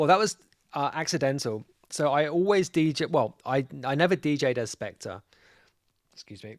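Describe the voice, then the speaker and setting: With a London accent, a man speaks at a moderate pace and a fairly high pitch, with lively intonation and big swings in loudness. He leaves long, frequent pauses, and the sound is dry and close with no echo. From North London. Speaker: DJ and label boss. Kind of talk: casual interview.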